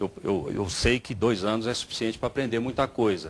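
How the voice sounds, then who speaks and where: Vocal fry runs through this man's speech, delivered at a moderate pace. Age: 60s. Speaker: mayoral candidate, former state secretary. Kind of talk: political debate.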